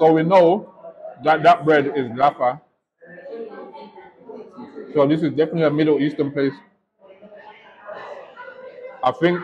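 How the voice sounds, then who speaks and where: Light background noise sits under speech delivered at a moderate pace. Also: man. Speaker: food vlogger. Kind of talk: casual food review chat. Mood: relaxed, playful. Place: cafe. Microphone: lapel.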